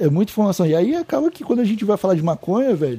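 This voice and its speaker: Over noticeable background noise, a man talks at a very fast pace with lively intonation, in a dry, close sound with no echo. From Santa Catarina, Brazil (Palhoça). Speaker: cannabis podcast host. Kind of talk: casual chat.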